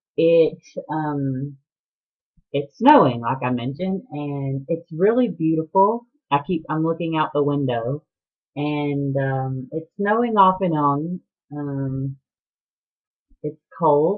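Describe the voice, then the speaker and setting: A woman speaks very slowly with a Southern US accent and a very deep, low pitch. Her ordinary pitch variation comes with long, frequent pauses. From US South, Atlanta, Georgia. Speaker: knitting podcaster. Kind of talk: casual chat. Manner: hesitant, many ums.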